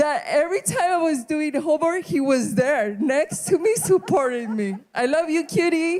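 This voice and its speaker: A woman with a Spanish accent speaks at a high pitch and a moderate pace, her pitch swinging very widely with hardly any pauses. Noticeable background noise runs under her voice. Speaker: graduate. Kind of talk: graduation speech.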